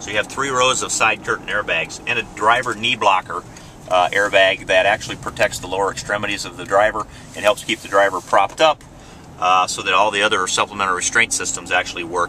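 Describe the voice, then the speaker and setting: Noticeable background noise sits under this man's voice. He talks fairly quickly at a fairly low pitch with fairly even intonation. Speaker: car salesman. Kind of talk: product demo during test drive. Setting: in a car. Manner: whispering briefly.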